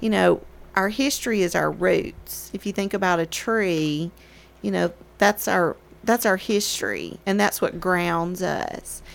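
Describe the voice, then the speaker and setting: A woman with a Tennessee accent talks at a fairly slow pace. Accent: US Southern (Tennessee). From Murfreesboro, Tennessee. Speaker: local historic preservation advocate. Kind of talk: casual chat.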